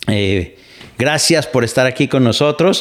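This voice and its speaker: The man's voice sits at a medium pitch, and its pitch variation is ordinary. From Mexico. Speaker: podcast host and radio broadcaster. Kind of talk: casual commentary monologue.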